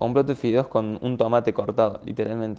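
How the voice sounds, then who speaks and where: A dark, mellow tone marks this man's voice. He keeps a moderate pace. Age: 20s. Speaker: podcaster. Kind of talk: personal monologue. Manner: animated.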